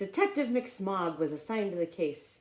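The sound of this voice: Lively intonation marks this unforced reading voice.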